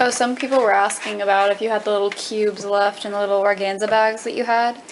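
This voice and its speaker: A woman talks at a very fast pace in a monotone, flat way. Noticeable background noise is present. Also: medium pitch for a woman. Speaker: camera operator. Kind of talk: casual chat.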